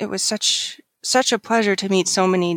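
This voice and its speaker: An ordinary speaking voice moves at a fairly quick pace with fairly even intonation. The sound is dry and close, with no echo. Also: woman. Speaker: conference co-organizer. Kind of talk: casual interview.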